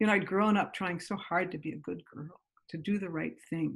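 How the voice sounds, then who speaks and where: With an American accent, a woman speaks at a moderate pace in a fairly low pitch, with vocal fry and ordinary pitch variation. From US Northeast, Great Neck, New York. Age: 60s. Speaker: mindfulness teacher. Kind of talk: interview.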